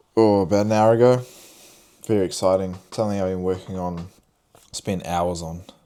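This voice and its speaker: A man with a New Zealand accent, very deep, low pitch, a dark, mellow tone, and fairly even intonation. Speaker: vlogger and clothing brand owner. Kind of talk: casual vlog talk to camera. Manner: hesitant, many fillers and repeats.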